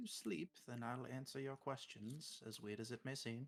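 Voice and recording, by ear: A text is being read aloud in a natural voice. The intonation holds fairly even.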